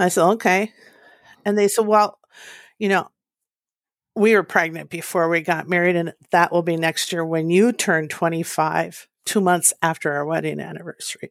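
Recorded dry and close with no echo and a silent background, a woman with an Upper Midwest accent speaks at a moderate pace in a fairly low pitch and fairly even intonation. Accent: Upper Midwest American. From US Midwest, northern Minnesota. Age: 60s. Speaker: interview guest sharing family story. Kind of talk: personal testimony.

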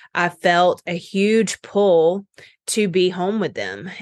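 A woman talks with a fairly low pitch and fairly even intonation. The sound is dry and close, with no echo. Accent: American. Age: 30s. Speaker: health coach. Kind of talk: casual chat.

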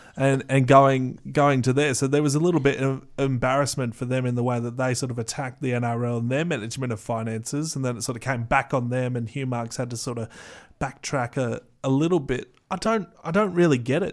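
An Australian accent from a man at a fairly quick pace, medium-pitched with ordinary pitch variation, on a very clean recording with a silent background. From Australia, Canberra. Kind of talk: casual chat.

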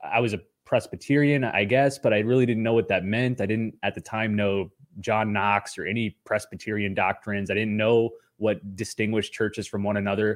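Talking at a fairly quick pace, a man has an ordinary speaking voice and a fairly low pitch. His intonation stays fairly even. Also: very clean recording, silent background. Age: 30s. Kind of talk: interview.

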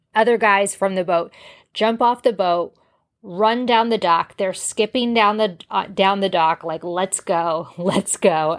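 A woman with an unremarkable speaking voice talks at a fairly slow pace, medium in pitch with ordinary pitch variation. The recording is very clean, with a silent background. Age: 40s. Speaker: podcast host. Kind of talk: casual monologue. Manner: conversational.

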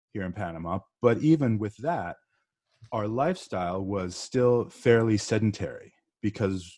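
Speaking with an American accent, a man has a fairly low pitch and a dark, mellow tone. His pitch variation is ordinary, and the background is quiet. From Northeast US. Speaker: podcast guest. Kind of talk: casual interview.

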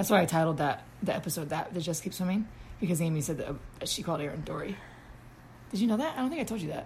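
Very fast and somewhat breathy, a woman talks at a fairly low pitch with lively intonation. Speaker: podcast host living with lupus. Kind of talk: casual chat. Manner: animated.

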